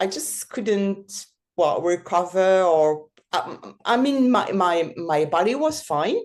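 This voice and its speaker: A woman of medium pitch speaks at a very slow pace. Her pitch swings very widely. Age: 60s. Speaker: mountain bike guide. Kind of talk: interview testimony. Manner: halting, many fillers.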